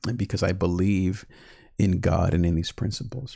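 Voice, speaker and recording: A man's calm voice with ordinary pitch variation, in a very clean recording against a silent background. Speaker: online life coach and podcast host. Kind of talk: live-streamed teaching talk. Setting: live stream. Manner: slow; calm, repetitive.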